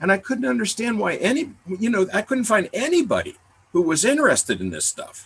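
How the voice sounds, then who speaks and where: A man with very wide pitch swings at a fairly quick pace. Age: 60s. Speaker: professor and expert guest. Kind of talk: webinar Q&A talk. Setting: video call from office. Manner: halting, many fillers and repetitions.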